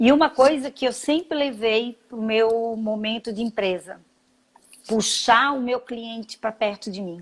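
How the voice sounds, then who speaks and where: In a very clean recording with a silent background, a woman speaks in a high pitch at a fairly slow pace with ordinary pitch variation. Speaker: school founder and entrepreneur. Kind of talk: interview.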